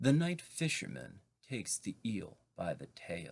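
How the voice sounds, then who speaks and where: A man speaks at a very slow pace with vocal fry. His pitch swings very widely. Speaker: poet. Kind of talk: poetry reading.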